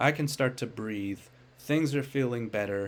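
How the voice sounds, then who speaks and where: At a moderate pace, a man speaks with medium pitch and ordinary pitch variation in a very clean recording with a silent background. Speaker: stock market commentator. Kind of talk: solo commentary video.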